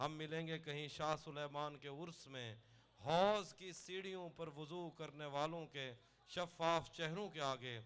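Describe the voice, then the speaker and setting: With ordinary pitch variation and an ordinary speaking voice, a man talks at a fairly high pitch. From Dera Ghazi Khan, Pakistan. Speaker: poet. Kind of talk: poetry reading.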